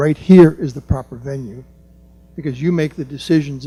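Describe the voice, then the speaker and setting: Somewhat breathy and fairly high-pitched, a man with an American accent speaks quickly-ish at a fairly quick pace with a dark, mellow tone. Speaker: resident speaking at public comment, planning board member. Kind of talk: public comment at council meeting. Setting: township meeting room. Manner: quiet.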